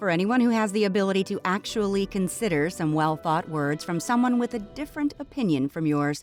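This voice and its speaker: Music plays in the background. The speaker talks at a fairly quick pace with lively intonation. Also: woman. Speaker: voice-over artist. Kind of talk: opinionated rant to camera, read from a written post. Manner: impassioned, emphatic.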